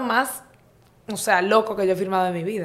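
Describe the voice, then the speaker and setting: Speaking with fairly even intonation at a medium pitch, a woman has an unremarkable speaking voice. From Dominican Republic, Santo Domingo. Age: 20s. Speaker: entrepreneur and health coach. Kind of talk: casual interview.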